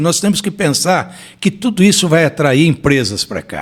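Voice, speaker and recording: On a very clean recording with a silent background, a man with a high pitch talks at a moderate pace, his intonation lively. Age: 60s. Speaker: former mayor. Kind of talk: interview.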